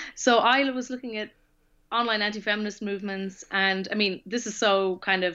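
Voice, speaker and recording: A woman speaks with an Irish accent at a fairly quick pace, her tone bright and sharp. Her pitch varies in an ordinary way against a quiet background. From Ireland. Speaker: author. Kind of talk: interview.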